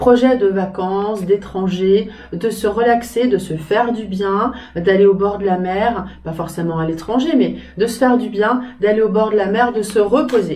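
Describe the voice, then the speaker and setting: The voice moves at a fairly slow pace with ordinary pitch variation. Audible room echo and noticeable background noise are present. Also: woman, medium pitch for a woman. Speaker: tarot reader. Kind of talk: tarot reading video. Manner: hesitant with fillers.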